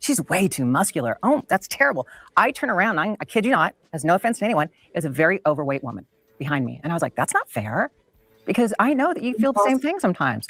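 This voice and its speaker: Over music in the background, the voice races at a very fast pace with very wide pitch swings, the sound dry and close with no echo. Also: woman. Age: 60s. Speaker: former bodybuilder and TV gladiator. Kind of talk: panel discussion.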